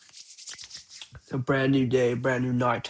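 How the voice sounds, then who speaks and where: A man speaks at a medium pitch in a monotone, flat way. His pace is very slow. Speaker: vlogger. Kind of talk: casual vlog. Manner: casual, hesitant with fillers.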